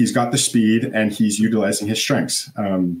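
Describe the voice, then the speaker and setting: A man with a Canadian accent speaks with fairly even intonation. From Canada. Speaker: elite swimmer; guest. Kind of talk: casual interview. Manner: halting, many fillers.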